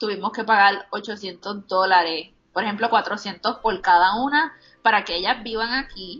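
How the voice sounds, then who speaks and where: With ordinary pitch variation, a woman speaks very slowly at a medium pitch. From Puerto Rico. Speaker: plus-size fashion blogger. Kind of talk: casual interview.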